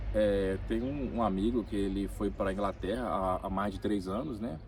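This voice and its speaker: A man speaks with vocal fry. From Brazil, Minas Gerais (Ipatinga), born in Rio de Janeiro. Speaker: immigrant worker. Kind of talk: interview. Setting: in-person conversation in Vilamoura.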